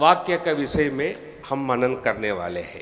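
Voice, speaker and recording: A man with a Tamil accent amid noticeable background noise. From Tamil Nadu, India. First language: Tamil (speaking Hindi). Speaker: preacher. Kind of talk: sermon. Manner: non-fluent Hindi with grammar mistakes.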